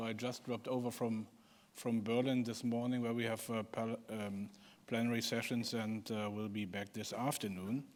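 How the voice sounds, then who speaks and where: On a very clean recording with a silent background, a man with a German accent speaks in a flat monotone at a medium pitch and a moderate pace. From Germany. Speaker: politician. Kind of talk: panel discussion opening remarks. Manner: halting.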